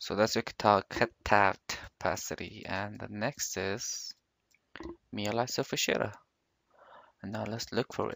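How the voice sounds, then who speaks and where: Recorded very cleanly with a silent background and a dry, close sound with no echo, a man with a fairly low pitch and vocal fry speaks at a fairly slow pace with fairly even intonation, big swings in loudness and long, frequent pauses. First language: not English. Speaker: 3D graphics tutorial maker. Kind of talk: screen-recorded software tutorial. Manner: casual, thinking aloud.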